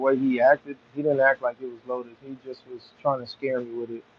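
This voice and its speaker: A man talking at a very fast pace. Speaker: livestreamer working on a car. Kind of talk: casual livestream chat. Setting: outdoors in backyard, live stream.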